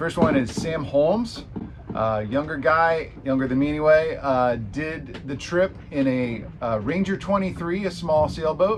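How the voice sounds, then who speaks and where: The speech comes at a fairly slow pace. Background noise is noticeable, and room echo can be heard. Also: man, fairly high pitch for a man. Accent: American. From San Francisco, California. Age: 40s. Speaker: amateur sailor and video creator. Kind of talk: vlog narration.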